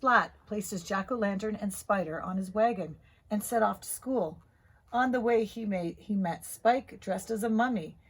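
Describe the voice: The speaker does a plain reading aloud with ordinary pitch variation.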